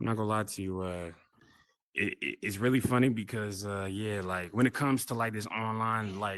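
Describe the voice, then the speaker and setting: Fairly even intonation and a moderate pace from a man with a fairly low pitch and an American accent. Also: quiet background. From Oklahoma, small town. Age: 20s. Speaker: content creator and artist. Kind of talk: casual chat. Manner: clear and loud; calm and mellow off camera.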